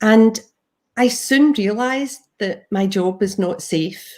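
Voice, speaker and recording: A woman with a Glaswegian accent speaks at a very slow pace. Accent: Glaswegian Scottish. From Scotland, Glasgow. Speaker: property investor and trainer. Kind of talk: presentation.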